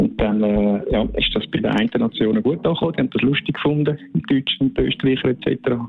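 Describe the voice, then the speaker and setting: Over music in the background, a man talks at a very fast pace with very even loudness. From Switzerland, Zürcher Unterland. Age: 50s. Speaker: former skeleton athlete, bobsled track manager. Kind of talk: interview.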